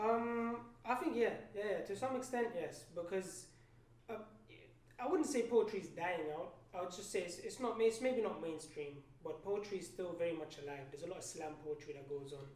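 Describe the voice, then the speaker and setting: A man with a high pitch talks at a moderate pace, his intonation lively and his loudness swinging widely. Audible room echo and noticeable background noise fill the recording. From Palestinian-Danish background. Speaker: poet and podcast guest. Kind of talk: casual chat. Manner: halting, many fillers.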